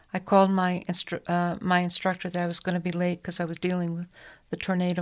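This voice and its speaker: This woman's voice sits at a medium pitch on a very clean recording with a silent background. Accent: American. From Connecticut, US New England. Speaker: hospital chaplain. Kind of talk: radio interview. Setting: studio.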